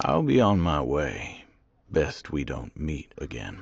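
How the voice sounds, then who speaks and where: In a put-on character voice, a man growls out his words very deep and low, raspy and fairly slow, with ordinary pitch variation. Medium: video game. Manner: clipped, weary.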